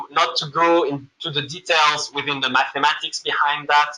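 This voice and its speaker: A man with a slight French accent talks at a moderate pace. His voice sits fairly high in pitch, with a bright, sharp tone. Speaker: machine learning consultant, presenter. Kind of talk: lecture. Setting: room with live audience. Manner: halting, many fillers.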